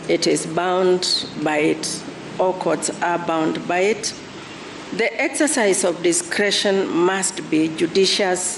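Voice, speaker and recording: A soft-spoken woman's medium-pitched voice at a very slow pace, very even loudness and ordinary pitch variation, over noticeable background noise. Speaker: deputy chief justice. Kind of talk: court judgment reading.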